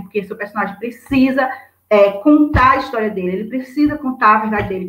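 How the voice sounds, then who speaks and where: A woman speaks in a fairly high pitch. Noticeable background noise runs behind her. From Brazil, interior of Bahia (Juazeiro). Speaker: writer. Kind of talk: interview. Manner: fast; animated.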